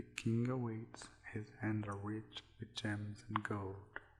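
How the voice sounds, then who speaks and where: Whispering and soft-spoken, a man speaks at a very slow pace amid noticeable background noise. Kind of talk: poetry reading. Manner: soft-spoken, whispered.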